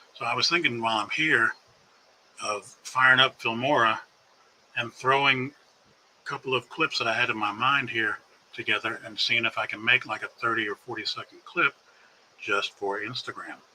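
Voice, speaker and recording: A man with an American accent talks at a moderate pace with long, frequent pauses over noticeable background noise. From California. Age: 60s. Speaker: drone videographer, live streamer. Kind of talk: casual live stream chat. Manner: rambling, conversational.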